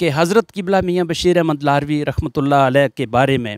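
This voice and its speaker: Against a quiet background, a man speaks at a fairly slow pace in a dry sound with no echo. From Poonch district, Jammu and Kashmir; Jammu and Kashmir. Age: 50s. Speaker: police officer; interview guest. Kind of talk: interview testimony. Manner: formal. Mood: reverent, measured. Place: garden. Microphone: handheld.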